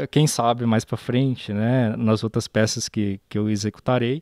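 A man talks at a fairly slow pace in a dark, mellow tone, with dry sound, no echo, and a quiet background. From Brazil, Minas Gerais (Pirapora); Minas Gerais, Brazil. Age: 30s. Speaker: sculptor. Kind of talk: interview; interview answer. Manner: halting. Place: garden. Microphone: handheld.

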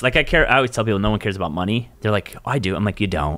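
Over a quiet background, a man talks with an American accent. His voice has a bright, sharp tone and a fairly low pitch. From Southern California. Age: 30s. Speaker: podcast host and real estate broker; podcast host. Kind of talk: casual interview. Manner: casual, lots of filler words. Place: studio. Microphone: studio mic.

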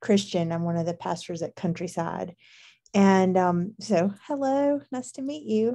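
Over a quiet background, a woman speaks with lively intonation and a dark, mellow tone. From Alabama, US South. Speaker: pastor. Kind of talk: casual chat. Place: home room. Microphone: video call.

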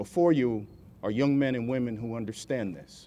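The man's speech runs at a moderate pace. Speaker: military colonel, guest speaker; guest. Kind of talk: formal keynote speech; ceremonial speech. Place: street. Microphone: podium.

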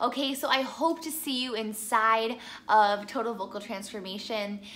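A woman speaks at a moderate pace with a medium pitch and ordinary pitch variation. Her tone is fairly bright.

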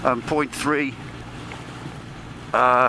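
The voice is monotone, with flat intonation, against noticeable background noise. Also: man, dry sound with no echo. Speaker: motorbike rider vlogger. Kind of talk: casual vlog chat. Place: motorbike.

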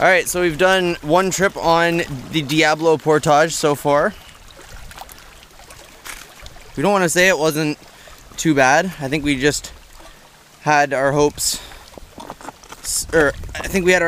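Pausing long and often, a man speaks with fairly even intonation in a dry sound with no echo, over light background noise. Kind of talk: casual vlog chat. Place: forest. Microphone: phone near.

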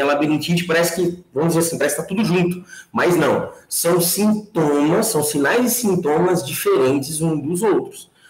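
With audible room echo, a man speaks in a high pitch with ordinary pitch variation. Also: very even loudness. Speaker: invited lecturer. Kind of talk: lecture. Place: home room. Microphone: webcam.

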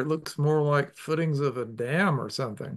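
A man with a normal speaking voice talks at a fairly high pitch with lively intonation against a quiet background. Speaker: river conservation advocate and webinar host; webinar host. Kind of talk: webinar hosting. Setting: video call. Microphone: video call.

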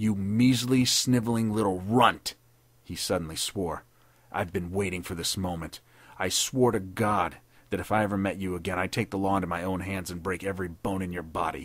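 A man's put-on character voice, raspy and very deep and low. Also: moderate pace. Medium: read story. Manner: sneering, savage, bitter.

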